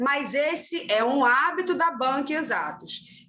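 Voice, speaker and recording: A woman speaks at a fairly slow pace with lively intonation. Room echo is audible, and background noise is noticeable. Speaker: teacher. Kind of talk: lecture. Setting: classroom, recorded class.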